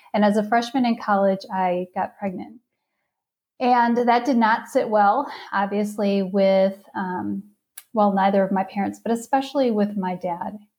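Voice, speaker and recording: Using an ordinary speaking voice, a woman with an American accent speaks fairly slowly at medium pitch with fairly even intonation. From Wisconsin (outside Milwaukee). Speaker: parenting coach. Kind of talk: testimony.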